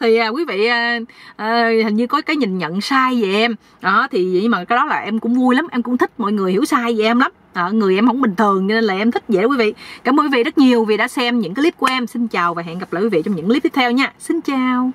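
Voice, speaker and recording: A woman talks at a very fast pace, and the sound is dry with no echo. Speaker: vlogger. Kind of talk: casual vlog chat. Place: car. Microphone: phone near.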